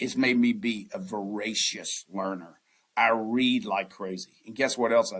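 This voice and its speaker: Speaking with a Southern US accent, this voice moves at a fairly slow pace with ordinary pitch variation. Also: man. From US South. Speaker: investment banker. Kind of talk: podcast interview.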